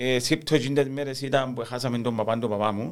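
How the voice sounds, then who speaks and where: This man speaks in a Cypriot accent with ordinary pitch variation. The recording is very clean, with a silent background. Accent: Cypriot Greek. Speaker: football fan. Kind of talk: casual chat.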